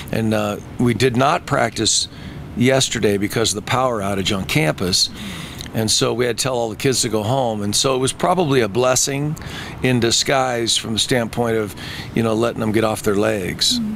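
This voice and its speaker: With ordinary pitch variation and a moderate pace, a man speaks in a dry recording with no echo and light background noise. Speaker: football coach. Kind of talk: interview answer. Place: stadium. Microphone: handheld.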